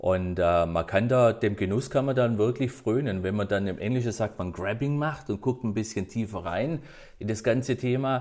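Against a quiet background, a man talks at a moderate pace and fairly low pitch. He has an unremarkable speaking voice with ordinary pitch variation. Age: 50s. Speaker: whisky enthusiast. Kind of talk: casual interview.

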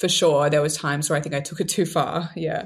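A woman speaks with an Australian accent at a fairly low pitch. Her voice is somewhat breathy. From Australia, Sydney. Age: 20s. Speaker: TikTok creator. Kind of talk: casual interview.

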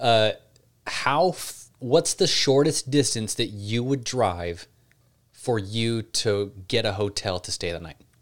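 With an American accent, a man talks at a very slow pace. His medium-pitched voice has lively intonation. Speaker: podcast host. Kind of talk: casual Q&A chat.

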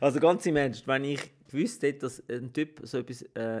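On a very clean recording with a silent background, a man uses a normal speaking voice, medium in pitch, at a fairly quick pace with ordinary pitch variation. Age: 40s. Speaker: podcast co-host. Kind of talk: casual chat.

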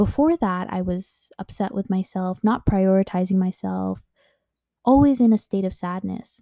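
The voice has a dark, mellow tone and a moderate pace. It is recorded very cleanly, with a silent background. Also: woman, medium pitch for a woman, ordinary pitch variation. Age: 20s. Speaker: podcast host. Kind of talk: personal monologue. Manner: hesitant, filler-heavy.

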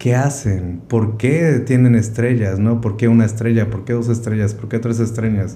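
Somewhat breathy and dark, mellow in tone, a man speaks with fairly even intonation and hardly any pauses. Audible room echo hangs around his voice. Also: medium pitch for a man, moderate pace. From Mexico, Córdoba, Veracruz. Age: 30s. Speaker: chef. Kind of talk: interview conversation.

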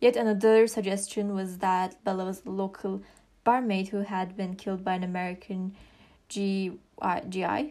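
On a very clean recording with a silent background, a woman with a non-native accent speaks in a dark, mellow tone. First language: not English. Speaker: true crime podcast host. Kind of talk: scripted narration. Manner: halting, with frequent fillers and restarts.

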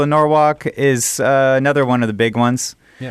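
Over a quiet background, a man with an unremarkable speaking voice talks at medium pitch and a moderate pace with ordinary pitch variation. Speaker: festival organizer. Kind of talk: casual radio chat. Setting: radio studio.

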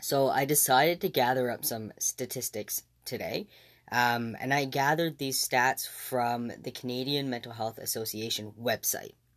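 A man in a normal speaking voice, medium in pitch with ordinary variation, comes through in a very clean recording with a silent background. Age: 20s. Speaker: podcast host. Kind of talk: solo podcast monologue.

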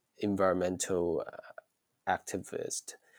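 The voice has a Chinese accent and a dry, close sound with no echo. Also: man. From China, Shantou (Chaoshan region). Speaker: science fiction writer. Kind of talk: interview. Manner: hesitant, many fillers and repetitions.

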